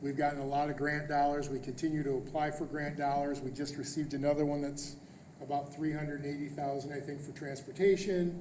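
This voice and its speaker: A man's fairly high, monotone and flat voice at a fairly quick pace, with audible room echo and noticeable background noise. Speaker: school superintendent. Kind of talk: board meeting presentation. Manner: fast.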